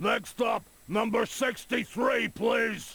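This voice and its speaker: This man uses a put-on character voice at an extremely high pitch. He talks at a very slow pace. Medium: video game. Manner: impatient.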